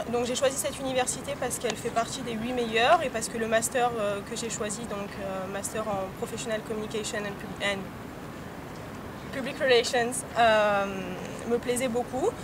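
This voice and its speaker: Long, frequent pauses break up speech at a moderate pace, over noticeable background noise. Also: woman, fairly high pitch for a woman, fairly even intonation. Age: 20s. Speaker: international student. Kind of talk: testimony interview. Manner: hesitant, many fillers.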